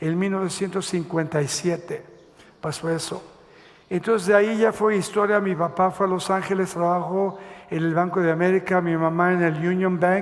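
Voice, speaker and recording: Noticeable background noise sits behind a man speaking at a moderate pace. His high-pitched voice is monotone, with flat intonation. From Mexico City, then Los Angeles from age 10. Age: 70s. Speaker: pastor. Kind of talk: testimony. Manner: halting, many fillers.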